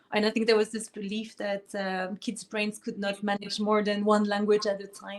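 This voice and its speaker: Speaking in a French accent, a woman with medium pitch keeps a moderate pace with monotone, flat intonation and hardly any pauses. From France. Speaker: pianist and harpist. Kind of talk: interview. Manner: hesitant, many fillers.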